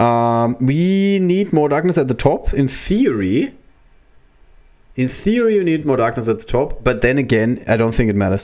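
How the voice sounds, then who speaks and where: A man with a slight German accent speaks at medium pitch and a moderate pace. His tone is dark and mellow, with very wide pitch swings and very even loudness. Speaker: gaming streamer. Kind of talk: live gameplay commentary. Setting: livestream. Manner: casual, thinking aloud.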